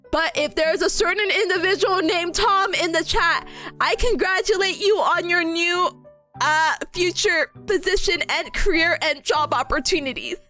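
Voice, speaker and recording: A woman uses a raised, projected voice at an extremely high pitch, with ordinary pitch variation and a moderate pace, as music plays in the background. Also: very even loudness. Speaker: VTuber streamer. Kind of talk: casual live-stream talk to chat, reading and reacting to viewer comments. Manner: rambling, chatty, self-deprecating.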